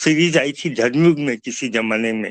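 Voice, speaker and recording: A man has an unremarkable speaking voice with a fairly high pitch. His pitch variation is ordinary. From Chhattisgarh, India (Bilaspur). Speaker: author. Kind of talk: interview.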